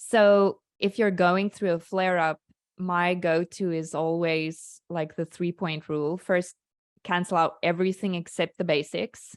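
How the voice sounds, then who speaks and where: A woman's fairly low voice in a South African accent, with monotone, flat intonation at a fairly slow pace, in a dry, close sound with no echo on a very clean recording with a silent background. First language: Afrikaans. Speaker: skincare founder. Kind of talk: interview. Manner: halting.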